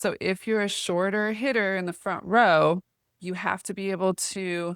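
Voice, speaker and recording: Against a silent background in a very clean recording, a woman with an American accent speaks in an ordinary speaking voice at a medium pitch. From US, small town. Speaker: volleyball recruiting advisor. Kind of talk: informal tutorial talk.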